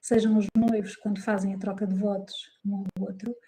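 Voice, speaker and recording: Somewhat breathy and dark, mellow in tone, a woman speaks with monotone, flat intonation in a dry, close sound with no echo. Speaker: psychologist and wedding celebrant. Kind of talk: interview conversation. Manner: calm; hesitant fillers.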